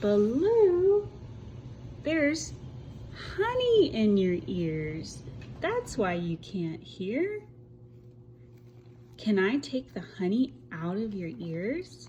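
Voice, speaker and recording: In a put-on character voice, a female-sounding speaker at medium pitch goes very slowly with long, frequent pauses over clear background noise. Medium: read story. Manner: kind, motherly.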